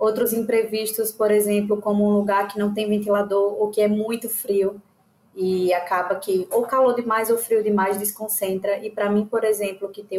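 Fairly quick in pace, a woman speaks at a fairly high pitch. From Aracaju, Sergipe, Brazil. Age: 20s. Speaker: exam student. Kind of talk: casual chat.

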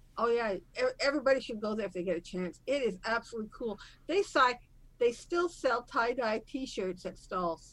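Talking at a fairly quick pace, a woman has a fairly high pitch and an ordinary speaking voice. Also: lively intonation. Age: 60s. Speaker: real estate investor. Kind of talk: casual interview.

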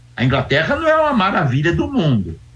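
A man is speaking. His voice is somewhat breathy. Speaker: sociology professor. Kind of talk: interview. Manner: animated.

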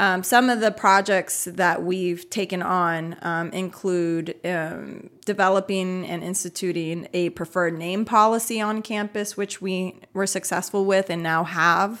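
An unremarkable speaking voice from a woman, medium in pitch, fairly even in intonation, at a fairly slow pace with hardly any pauses, on a very clean recording with a silent background. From US, Puerto Rican family. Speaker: social work professor. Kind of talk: interview.

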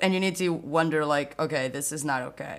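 A woman with a Portuguese accent speaks at a moderate pace. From Portugal, near Porto. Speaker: software developer advocate. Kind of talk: casual interview. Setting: podcast recording.

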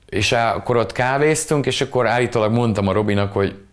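A man with an ordinary speaking voice, moderate in pace, with ordinary pitch variation. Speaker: musician. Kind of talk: casual chat. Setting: video call.

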